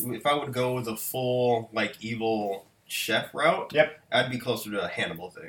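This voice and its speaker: There are big swings in loudness as a man speaks with hardly any pauses. His pitch variation is ordinary, and background noise is noticeable. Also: medium pitch for a man, moderate pace. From Britain. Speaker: chef and podcast co-host. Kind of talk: casual chat.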